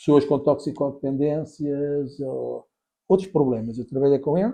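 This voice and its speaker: At a fairly slow pace, a man with a fairly high pitch and dark, mellow tone speaks with ordinary pitch variation. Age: 60s. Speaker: pastor. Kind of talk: casual chat.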